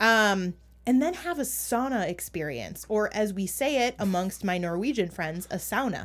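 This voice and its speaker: Against a silent background in a very clean recording, a woman speaks at a moderate pace and a medium pitch with lively intonation. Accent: American. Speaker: podcast co-host. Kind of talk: casual chat.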